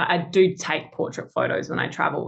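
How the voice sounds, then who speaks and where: A woman with an Australian accent at a fairly quick pace. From Australia, Adelaide. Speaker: engineer and travel photographer. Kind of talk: casual interview.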